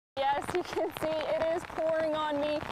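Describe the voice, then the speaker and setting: Amid noticeable background noise, a woman speaks at an extremely high pitch. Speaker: TV news reporter. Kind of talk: TV news field report.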